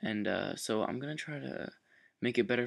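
Soft-spoken, a man talks at a fairly quick pace against a quiet background. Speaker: programming tutorial maker. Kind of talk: tutorial. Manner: soft-spoken, low voice; hesitant, many fillers.

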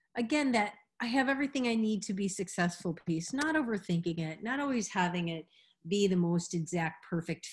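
Against a quiet background, a woman with a medium pitch speaks at a moderate pace, somewhat breathy, with very wide pitch swings. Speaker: meditation teacher. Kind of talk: instructional workshop. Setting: video class with participants.

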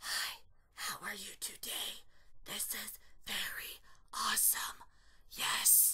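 In a put-on character voice, someone whispers, breathy and raspy, at a very slow pace with long, frequent pauses. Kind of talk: reading dub lines in a tutorial. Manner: quiet but projected.

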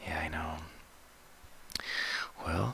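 Over light background noise, a man speaks fairly slowly in a bright, sharp tone with a dry, echo-free sound. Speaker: ASMR roleplay doctor. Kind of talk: ASMR medical roleplay. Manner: soft-spoken, relaxing. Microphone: headset.

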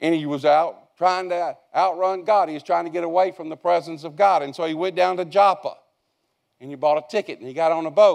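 Against a quiet background, a man talks at a fairly quick pace with a high pitch and fairly even intonation. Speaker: preacher. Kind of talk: sermon. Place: church.

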